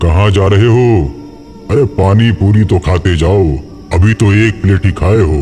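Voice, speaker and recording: Clear music plays behind a man doing a cartoonish character voice. He speaks at a moderate pace with a fairly low pitch. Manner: menacing, mocking.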